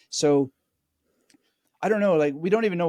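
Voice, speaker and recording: On a very clean recording with a silent background, a man talks. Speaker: memory expert. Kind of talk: interview conversation. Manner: halting, many fillers.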